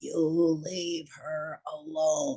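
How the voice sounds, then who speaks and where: His voice is put on as a character. A man speaks with a high pitch. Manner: menacing.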